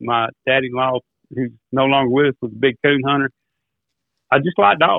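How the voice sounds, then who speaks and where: Here a man speaks with an American accent at medium pitch. His intonation is fairly even, broken by long, frequent pauses. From US South, Arkansas and mid-South. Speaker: duck caller and turkey hunter. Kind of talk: casual podcast interview.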